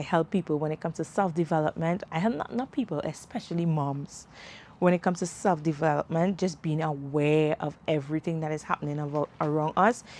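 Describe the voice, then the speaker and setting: A woman with a Caribbean accent, her pitch very deep and low, at a fairly quick pace. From Trinidad and Tobago. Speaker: self-development podcaster and mom. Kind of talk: live stream chat. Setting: outdoors, livestream. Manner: conversational, animated.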